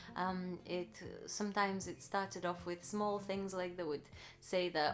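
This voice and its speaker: With fairly level intonation, a woman's mid-range voice unfolds at a fairly slow tempo. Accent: Russian. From Russia. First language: Russian. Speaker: vlogger. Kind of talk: personal story, casual vlog. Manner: hesitant, with many fillers.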